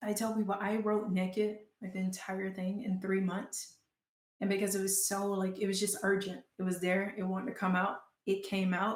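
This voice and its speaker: A woman speaks in an American accent with a monotone, flat intonation. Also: medium pitch for a woman, moderate pace. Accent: Southern US, comes out now and then. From Georgia, US South. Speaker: writer and performer. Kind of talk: interview.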